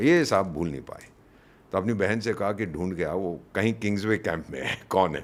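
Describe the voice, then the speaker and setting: Moderately paced speech from a man, very deep and low in pitch, with ordinary pitch variation. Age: 70s. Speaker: retired diplomat. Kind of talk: interview. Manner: animated.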